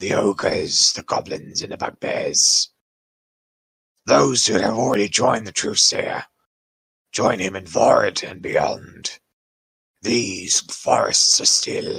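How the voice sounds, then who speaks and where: Using a raspy, put-on character voice, a man speaks at a fairly slow pace with long, frequent pauses. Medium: actual play. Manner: measured, grave.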